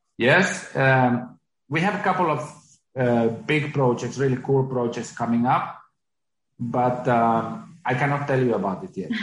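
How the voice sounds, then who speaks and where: With audible room echo, a man at medium pitch speaks at a fairly slow pace, somewhat breathy and with lively intonation. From Finland. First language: Finnish. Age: 40s. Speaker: company CEO. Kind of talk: interview. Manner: halting.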